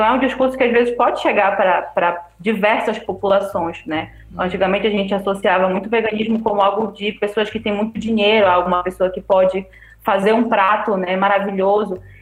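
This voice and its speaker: Over noticeable background noise, a woman with a medium pitch talks at a fairly quick pace with fairly even intonation. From Belém, Pará, Brazil. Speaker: vegetarian guest. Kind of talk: casual chat.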